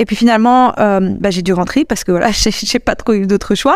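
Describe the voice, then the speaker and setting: Her pitch rises and falls in an ordinary way. The woman keeps up a fairly quick pace. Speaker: podcast host and travel coach. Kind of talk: casual monologue. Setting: recorded while traveling abroad.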